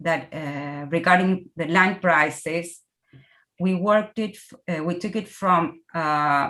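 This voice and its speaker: Speaking very slowly, a woman with a Spanish accent uses a fairly low pitch and fairly even intonation. Her tone comes across bright and sharp. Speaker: researcher presenting. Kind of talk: academic Q&A. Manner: halting.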